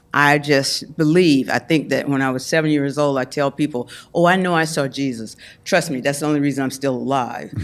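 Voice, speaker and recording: A woman with an American accent speaks in a very deep, low pitch. The recording is very clean, with a silent background. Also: fairly quick pace. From US South. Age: 70s. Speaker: Hollywood figure. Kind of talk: interview conversation. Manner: animated.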